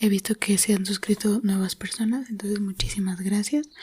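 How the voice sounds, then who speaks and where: A woman's somewhat breathy voice at medium pitch, dark and mellow in tone, with fairly even intonation and a dry, close sound with no echo. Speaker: ASMR creator. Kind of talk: casual talk to camera.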